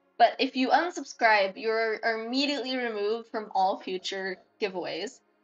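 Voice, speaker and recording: Music plays in the background as a woman talks at a moderate pace with a fairly high pitch and ordinary pitch variation. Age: 20s. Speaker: game streamer. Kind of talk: casual live stream chat. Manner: animated.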